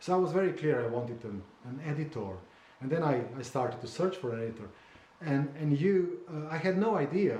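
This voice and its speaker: A man with a Slovene accent at a fairly high pitch, moderate pace and ordinary pitch variation, amid audible room echo and noticeable background noise. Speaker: memoir author. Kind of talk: casual conversation. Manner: halting, with many repetitions and fillers.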